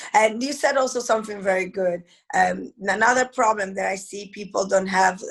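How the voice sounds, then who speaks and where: With a strong Italian accent and vocal fry, the speaker keeps a moderate pace and fairly even intonation. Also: woman. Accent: heavy Italian. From Italy. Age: 40s. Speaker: network marketing entrepreneur. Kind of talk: interview. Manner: halting.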